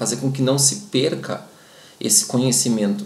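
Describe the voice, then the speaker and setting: A man talks fairly slowly. The room echo is audible. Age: 40s. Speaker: dog trainer and breeder. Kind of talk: informative talk to camera. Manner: halting, many filler sounds.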